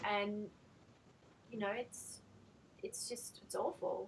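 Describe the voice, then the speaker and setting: A fairly high-pitched woman at a moderate pace, with noticeable background noise. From Australia. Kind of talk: interview question and discussion.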